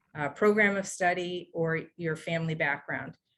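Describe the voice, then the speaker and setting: Speaking at a fairly low pitch, a woman uses ordinary pitch variation. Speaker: financial aid administrator. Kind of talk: webinar presentation. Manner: fast.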